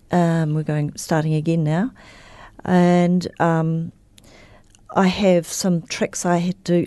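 Very slowly, a woman speaks in a fairly low pitch, her dark, mellow tone held to monotone, flat intonation. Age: 70s. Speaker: recovering alcoholic, AA member. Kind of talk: interview about personal recovery story. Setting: radio studio.

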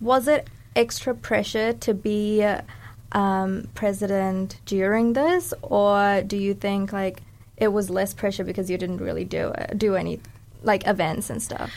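A woman speaks at a fairly slow pace. She has a New Zealand accent. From New Zealand, born in Sri Lanka. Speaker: podcast host. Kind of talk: casual interview chat. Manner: animated.

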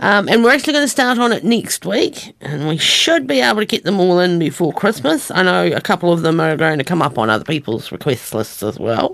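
Speaking at a fairly quick pace with hardly any pauses, a woman with a New Zealand accent uses a fairly low pitch and very wide pitch swings over noticeable background noise. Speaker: radio host. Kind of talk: radio DJ patter introducing country songs. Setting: studio. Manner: relaxed, chatty, conversational.

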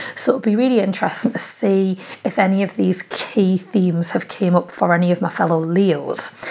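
Her medium-pitched voice moves at a fairly quick pace with very even loudness and hardly any pauses, over noticeable background noise. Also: ordinary pitch variation. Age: 30s. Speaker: community radio presenter. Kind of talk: personal audio diary. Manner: animated.

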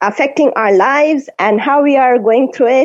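This woman's high-pitched voice carries an Indian accent and lively intonation. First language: Hindi. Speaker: radio host. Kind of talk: radio show hosting, casual chat. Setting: video call.

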